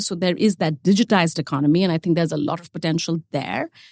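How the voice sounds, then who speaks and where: A woman with an Indian accent and a fairly low pitch is heard on a very clean recording with a silent background. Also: dry, close sound with no echo. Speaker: ETF expert, podcast regular. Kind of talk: quiz show chat.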